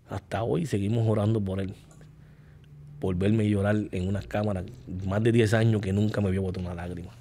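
The voice has a dark, mellow tone with long, frequent pauses over light background noise. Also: man, fairly low pitch for a man, fairly even intonation, fairly quick pace. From Puerto Rico. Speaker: guest. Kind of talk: testimony. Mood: emotional, reflective. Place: studio. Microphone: studio mic.

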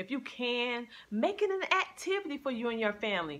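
Her tone bright and sharp, a woman speaks at a moderate pace with lively intonation.

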